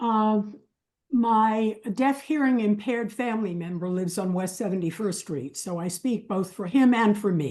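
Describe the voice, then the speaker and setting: Her voice is dark and mellow in tone. The woman speaks at a moderate pace. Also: medium pitch for a woman, ordinary pitch variation, quiet background. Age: 80s+. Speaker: member of the public giving comment. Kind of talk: public comment. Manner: formal.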